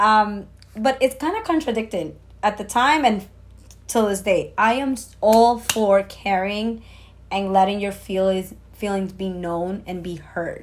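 A woman with a medium pitch talks at a fairly slow pace in an animated tone, showing ordinary pitch variation. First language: not English. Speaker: podcast co-host. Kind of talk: casual chat.

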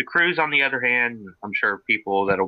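An ordinary speaking voice belongs to a man. He talks at a moderate pace. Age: 20s. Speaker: car enthusiast co-host, auto mechanics student. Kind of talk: casual chat.

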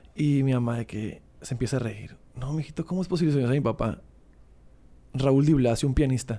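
At a fairly quick pace, a man speaks at a medium pitch with a dark, mellow tone and ordinary pitch variation. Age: 30s. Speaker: musician and record label owner. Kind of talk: casual chat.

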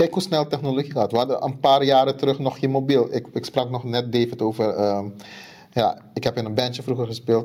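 With a Surinamese accent, a man talks at a fairly quick pace, with a medium pitch and fairly even intonation. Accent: Surinamese Dutch. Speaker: podcast co-host. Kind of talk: casual chat.

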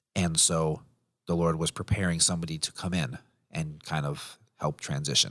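Very deep and low in pitch, a man speaks at a moderate pace in a flat monotone, in a very clean recording with a silent background. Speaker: podcast editor, former ministry worker. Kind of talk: casual chat.

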